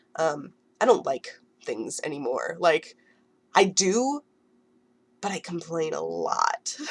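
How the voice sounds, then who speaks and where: A woman speaks over noticeable background noise. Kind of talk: casual talk to camera.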